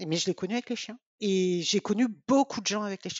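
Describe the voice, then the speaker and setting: The pace is moderate. This woman's pitch shifts about as much as usual, in an ordinary way. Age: 50s. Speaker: volunteer breeder family for guide dogs. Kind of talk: interview. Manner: hesitant, repeats words.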